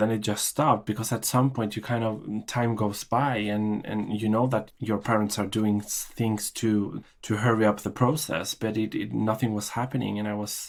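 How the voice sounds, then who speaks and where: A man's fairly low voice in a Norwegian accent, monotone and flat, at a moderate pace, on a very clean recording with a silent background. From Chile and Norway. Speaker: podcast guest, immigrant. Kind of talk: interview. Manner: halting, many fillers and repetitions.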